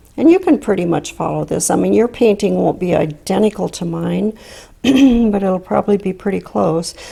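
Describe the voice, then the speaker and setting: Putting on a character voice, a woman sounds hoarse and raspy at medium pitch and a moderate pace, in a very clean recording with a silent background. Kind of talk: casual tutorial, instructional. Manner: relaxed, explaining.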